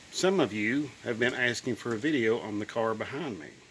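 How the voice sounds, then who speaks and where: The speech moves at a fairly slow pace with ordinary pitch variation, and noticeable background noise can be heard. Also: man. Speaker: car enthusiast video maker. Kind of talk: casual vlog talk.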